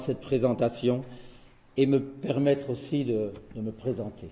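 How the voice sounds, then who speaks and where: Dark, mellow male voice at a moderate pace with ordinary pitch variation. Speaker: chemist giving a talk on rituals. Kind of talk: lecture.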